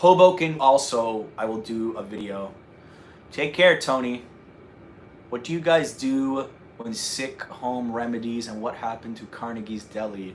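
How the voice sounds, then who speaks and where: In a slight North Jersey accent, a man speaks at a fairly slow pace. His tone is animated, with ordinary pitch variation. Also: medium pitch for a man. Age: 30s. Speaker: travel vlogger. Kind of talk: casual chat. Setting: livestream.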